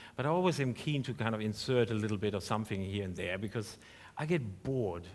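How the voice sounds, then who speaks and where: On a very clean recording with a silent background, a man with a fairly low voice talks at a fairly quick pace. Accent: German. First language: German. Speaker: professor. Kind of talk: panel discussion. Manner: halting.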